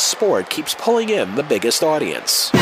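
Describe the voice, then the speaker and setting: A man talks fairly quickly, his pitch swinging very widely, as noticeable background noise carries on. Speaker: podcast host. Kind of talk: scripted narration; casual intro.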